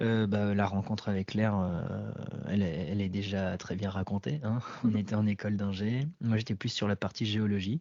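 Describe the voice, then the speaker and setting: Here a man speaks at a fairly low pitch and a moderate pace. His loudness stays very even, and his intonation is fairly even. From France, Indre-et-Loire. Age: 30s. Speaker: farmer and baker, former engineer. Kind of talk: interview. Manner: hesitant, many fillers.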